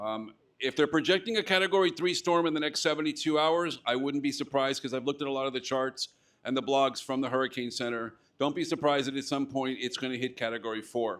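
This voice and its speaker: A man's fairly high voice at a very fast pace, on a very clean recording with a silent background. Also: ordinary pitch variation. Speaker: radio club organizer and emergency radio volunteer. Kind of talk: club meeting talk. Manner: conversational, many fillers.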